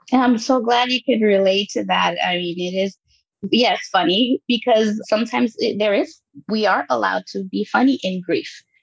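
Her intonation lively, a woman speaks in a fairly high pitch with a plain, everyday voice. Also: moderate pace. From Los Angeles, raised in Guatemala until eight. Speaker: life coach and podcaster. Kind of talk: casual interview chat.

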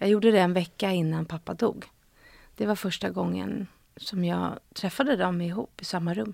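A woman talks at a moderate pace in a fairly low voice. Her intonation is lively. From Stockholm, Sweden. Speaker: actress and screenwriter. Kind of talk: casual interview. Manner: hesitant, many fillers.

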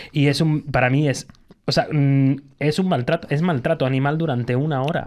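A man with an unremarkable speaking voice talks at a fairly quick pace in a fairly high pitch, keeping his loudness very even and his intonation fairly even. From Canary Islands. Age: 30s. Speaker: podcast host. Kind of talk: casual chat.

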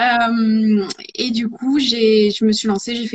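A woman talks in a fairly high pitch with fairly even intonation. Her voice is somewhat breathy. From rural France. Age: 30s. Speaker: ceramicist and pottery teacher. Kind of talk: live interview. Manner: hesitant.

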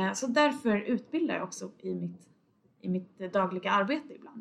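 This woman has an unremarkable speaking voice. It sits at a medium pitch and shows ordinary pitch variation. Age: 20s. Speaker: podcast host, data analyst. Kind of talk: casual solo podcast monologue.

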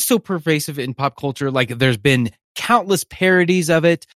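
A man with a plain, everyday voice speaks in a fairly high pitch with lively intonation. The sound is dry and close, with no echo. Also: very clean recording, silent background. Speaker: podcast host, film fan. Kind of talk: casual chat.

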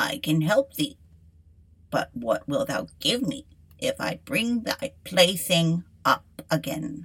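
Using a put-on character voice, a woman speaks at a fairly slow pace with a fairly low pitch, very wide pitch swings and long, frequent pauses. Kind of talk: archaic fairy-tale dialogue. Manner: insistent, demanding.

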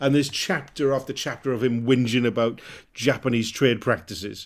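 In a Welsh accent, a man with medium pitch speaks at a very fast pace in a very clean recording with a silent background. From Wales. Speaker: comedian. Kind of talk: casual chat.

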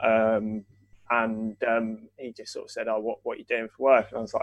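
A man with an English accent speaks at a moderate pace in a dry, close sound with no echo. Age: 20s. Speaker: football writer. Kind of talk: interview. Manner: hesitant, many fillers.

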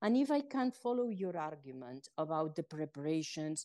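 Her tone dark and mellow, a woman with a Spanish accent talks with very wide pitch swings. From Spain. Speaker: former UN communications chief. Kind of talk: interview.

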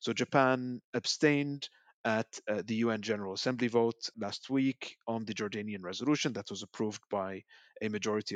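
A plain, everyday voice from a man, medium in pitch and fairly even in intonation, at a fairly quick pace, with a dry, close sound, no echo and a quiet background. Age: 30s. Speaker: policy researcher. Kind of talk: panel discussion.

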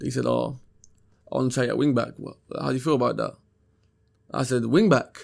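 Talking at a fairly quick pace, a man with a London accent leaves long, frequent pauses. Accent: London Multicultural English. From South London (Peckham). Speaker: professional footballer. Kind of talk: interview.

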